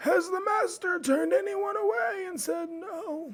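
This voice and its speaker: Delivery is very slow. The voice is a put-on character voice. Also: man. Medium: actual play. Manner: terse, self-assured.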